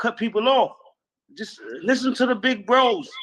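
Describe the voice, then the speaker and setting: A man at a moderate pace. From New York City. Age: 50s. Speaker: podcast host. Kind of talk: heated debate. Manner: animated.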